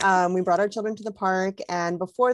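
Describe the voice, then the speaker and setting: A woman speaks at medium pitch with fairly even intonation. Hers is a plain, everyday voice. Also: dry, close sound with no echo. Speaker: parenting organization host. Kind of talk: video call interview. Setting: video call.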